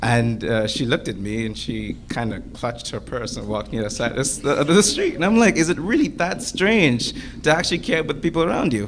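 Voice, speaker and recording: The speaker talks at a fairly quick pace with very wide pitch swings, and noticeable noise sits in the background. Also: man, hardly any pauses. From Bahamas. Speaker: student panelist. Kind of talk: panel discussion. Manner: halting.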